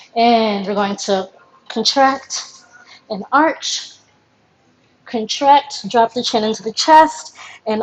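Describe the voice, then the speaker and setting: A woman's very slow delivery with ordinary pitch variation. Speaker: professional dancer teaching a class; movement instructor. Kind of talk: live online dance stretch class instruction. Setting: live stream. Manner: loud. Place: home room. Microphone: camera far.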